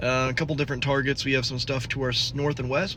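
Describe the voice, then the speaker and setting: A man is speaking. The room's echo can be heard clearly. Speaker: storm chaser vlogger. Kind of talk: casual vlog narration. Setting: at a gas station.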